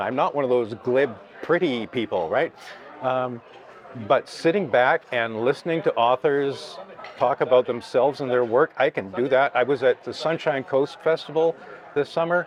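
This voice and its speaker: With crowd noise in the background, a man with a Canadian accent talks at a moderate pace, a fairly high pitch and ordinary pitch variation. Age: 60s. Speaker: journalist and author. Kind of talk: interview.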